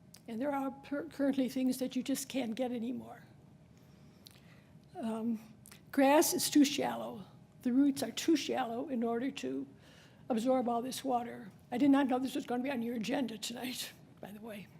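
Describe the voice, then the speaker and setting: Speaking at a moderate pace with long, frequent pauses, a woman uses a high pitch and fairly even intonation, her tone dark and mellow, while room echo is audible. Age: 80s+. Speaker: resident speaking at public comment. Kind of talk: public comment at city council meeting. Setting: city council meeting. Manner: halting.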